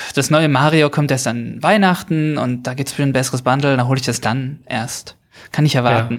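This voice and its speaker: A man uses an ordinary speaking voice at medium pitch with ordinary pitch variation. He talks at a fairly quick pace, with big swings in loudness. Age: 30s. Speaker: caller. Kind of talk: casual chat.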